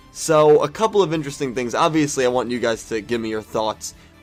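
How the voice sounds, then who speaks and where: A man is speaking. Music plays in the background. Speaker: anime commentator. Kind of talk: casual talk to camera.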